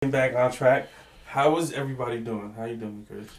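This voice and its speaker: Amid noticeable background noise, a man with an American accent speaks at a medium pitch. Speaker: podcast host. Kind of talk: casual chat.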